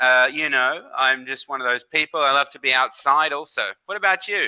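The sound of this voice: A man speaks at a moderate pace with medium pitch and ordinary pitch variation. His tone is bright and sharp, yet clear and smooth.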